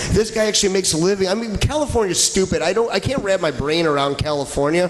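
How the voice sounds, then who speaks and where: Over noticeable background noise, a man talks at a very fast pace with hardly any pauses, his high-pitched voice animated in tone with lively intonation. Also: very even loudness. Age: 30s. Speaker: comedy podcast host. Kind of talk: casual chat.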